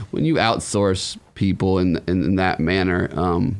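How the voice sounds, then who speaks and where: Lively in intonation, a man with an American accent speaks in a very deep, low pitch with vocal fry. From Humboldt, California and Arizona. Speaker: cannabis social media personality. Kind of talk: casual interview.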